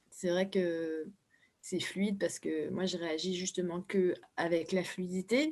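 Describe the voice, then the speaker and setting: The speaker goes very slowly, keeping the intonation fairly level. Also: woman, medium pitch for a woman. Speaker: spiritual speaker. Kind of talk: live interview. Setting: live video stream.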